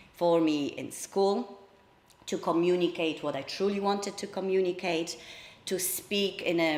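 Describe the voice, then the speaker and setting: A woman with a Polish accent speaks at a fairly slow pace in a fairly low voice. Her intonation is monotone and flat, and there is noticeable background noise. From Poland. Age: 30s. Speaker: public speaker. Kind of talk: personal talk. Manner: hesitant fillers.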